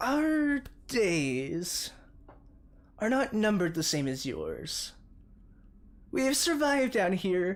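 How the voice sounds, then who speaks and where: In a put-on character voice of fairly high pitch, the speaker moves at a very slow pace with long, frequent pauses and very wide pitch swings. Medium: actual play. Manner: formal, measured.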